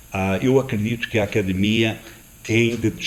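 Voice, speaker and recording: A man talks in a non-native accent at a moderate pace. His pitch sits in the medium range. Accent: foreign accent in Portuguese. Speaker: panel moderator, tourism executive. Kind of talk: panel discussion. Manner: hesitant, frequent 'ah' fillers.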